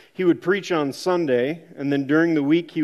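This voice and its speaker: Speaking at a fairly quick pace, a man with an Upper Midwest accent keeps his intonation fairly even. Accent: Upper Midwest American. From Minnesota. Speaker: church member sharing testimony. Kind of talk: testimony.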